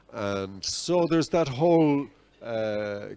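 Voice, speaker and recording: A man is speaking at a medium pitch. His pitch variation is ordinary. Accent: Dublin. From Ireland, Dublin. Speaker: invited speaker. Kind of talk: public talk. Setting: cafe event with audience.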